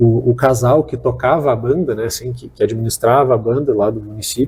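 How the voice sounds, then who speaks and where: Somewhat breathy male speech at medium pitch, dark and mellow in tone, at a moderate pace. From southern Brazil, Porto Alegre. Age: 30s. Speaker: state tourism official. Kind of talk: interview. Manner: halting, many fillers.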